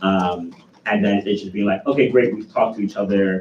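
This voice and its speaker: A man with a fairly low pitch speaks at a very fast pace. His intonation stays fairly even. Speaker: student government executive. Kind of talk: meeting report.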